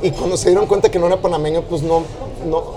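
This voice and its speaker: Fairly even intonation is heard with audible room echo and noticeable background noise. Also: man. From Mexico City. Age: 40s. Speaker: music manager. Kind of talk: casual interview. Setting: noisy restaurant.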